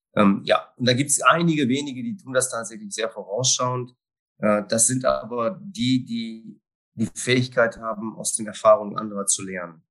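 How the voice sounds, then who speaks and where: Speaking at a moderate pace, the man has an unremarkable speaking voice. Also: medium pitch for a man, lively intonation. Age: 50s. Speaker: risk management consultant. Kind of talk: interview conversation.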